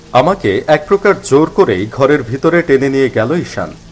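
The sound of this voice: A man speaks at a medium pitch and a moderate pace. His pitch swings widely.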